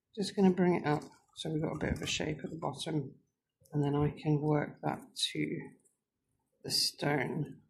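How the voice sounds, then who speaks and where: Vocal fry at a moderate pace, broken by long, frequent pauses. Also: woman, very deep, low pitch for a woman. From England, Northamptonshire area. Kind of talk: tutorial. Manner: casual, with frequent fillers.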